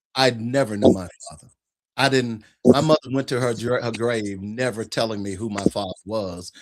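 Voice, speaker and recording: In an unremarkable speaking voice, a man talks at medium pitch and a moderate pace, with ordinary pitch variation and big swings in loudness. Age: 60s. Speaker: guest on talk show about fathers' rights. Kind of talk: casual chat.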